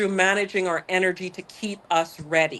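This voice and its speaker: In a Barbadian accent, a woman speaks at a medium pitch. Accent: Barbadian (Bajan), lasting. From Barbados. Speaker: corporate executive. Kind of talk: interview.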